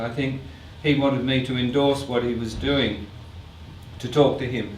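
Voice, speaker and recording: Audible room echo and noticeable background noise surround a man's voice. He speaks at a moderate pace with a medium pitch and fairly even intonation. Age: 60s. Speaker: artist and filmmaker. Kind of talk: artist talk Q&A with audience.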